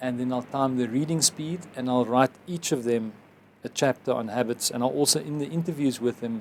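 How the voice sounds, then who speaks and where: Talking at a fairly quick pace, a man has a normal speaking voice at medium pitch with ordinary pitch variation. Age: 50s. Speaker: advertising executive and author. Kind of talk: interview.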